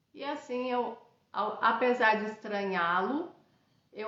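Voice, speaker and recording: Audible room echo fills the recording. A woman with a fairly high pitch speaks at a very slow pace. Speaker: radiesthesia teacher and institute founder. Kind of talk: live-streamed class. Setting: live stream. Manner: halting, many fillers. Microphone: unstable internet connection.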